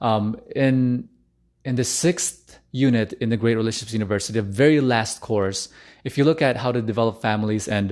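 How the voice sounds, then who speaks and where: A man speaks at a fairly quick pace with a medium pitch. His intonation stays fairly even over a quiet background. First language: not English. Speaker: relationship coach. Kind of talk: live stream talk. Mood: earnest, personal. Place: home room. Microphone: studio mic.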